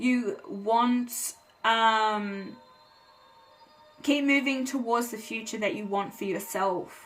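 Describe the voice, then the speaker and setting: There is audible room echo as a woman speaks very slowly at a fairly high pitch with ordinary pitch variation. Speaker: tarot reader. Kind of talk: tarot reading monologue. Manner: hesitant with frequent fillers.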